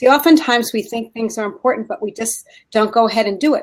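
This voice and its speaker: The woman's intonation is lively and her pitch fairly high. She speaks with a New Jersey accent. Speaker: leadership skills training consultant. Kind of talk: casual chat.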